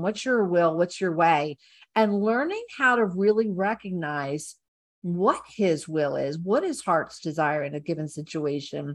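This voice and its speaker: A plain, everyday voice belongs to a woman with a fairly low pitch and lively intonation. She speaks at a fairly slow pace over a quiet background. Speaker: podcast co-host. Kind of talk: casual chat.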